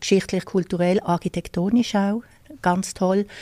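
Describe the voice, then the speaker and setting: A woman speaks in a dark, mellow tone with monotone, flat intonation. The recording is very clean, with a silent background and dry, close sound with no echo. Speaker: tour guide. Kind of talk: interview. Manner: hesitant, many fillers.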